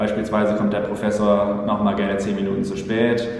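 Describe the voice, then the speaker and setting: A fairly low-pitched man at a fairly quick pace, with audible room echo and noticeable background noise. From Germany, Paderborn. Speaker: exchange student. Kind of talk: personal account.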